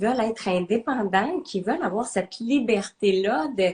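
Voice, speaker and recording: In a slight Quebec accent, a woman speaks somewhat breathily at a fairly high pitch and a fairly slow pace, with lively intonation. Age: 30s. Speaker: entrepreneur, nutrition coach. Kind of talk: interview. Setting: live video stream. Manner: hesitant, many fillers.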